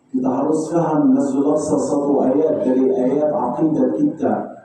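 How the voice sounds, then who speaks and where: A man's voice carries audible room echo. Noticeable background noise is present. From Palestine. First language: Arabic (speaking Indonesian). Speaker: Islamic preacher. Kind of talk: sermon. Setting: mosque. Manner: halting.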